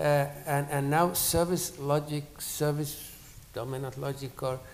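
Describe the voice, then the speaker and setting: Noticeable background noise sits behind a man speaking at a fairly slow pace. His fairly high pitch stays monotone and flat. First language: not English (third language). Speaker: academic panelist. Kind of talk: panel discussion. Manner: halting, many repetitions.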